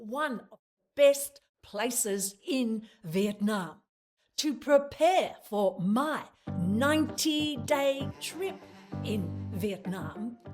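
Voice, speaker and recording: Music plays behind a woman speaking at a very slow pace. Her pitch swings very widely. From Australia. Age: 70s. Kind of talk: travel vlog narration.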